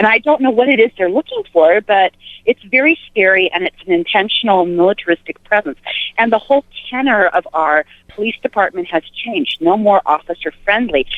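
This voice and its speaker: This woman has a plain, everyday voice and an American accent. She talks at a fairly quick pace with lively intonation. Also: medium pitch for a woman. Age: 60s. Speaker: caller. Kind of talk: casual chat.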